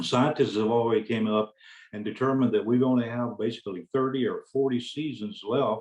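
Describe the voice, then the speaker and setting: Moderate-paced speech from a man in a Southern US accent, medium-pitched with fairly even intonation. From US South (Alabama). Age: 70s. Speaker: hemp farmer. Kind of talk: panel presentation.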